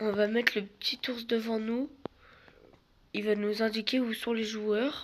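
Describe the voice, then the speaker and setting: Speaking at a fairly slow pace with long, frequent pauses, a woman keeps her fairly high voice flat and monotone. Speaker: gaming youtuber. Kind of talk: gameplay commentary.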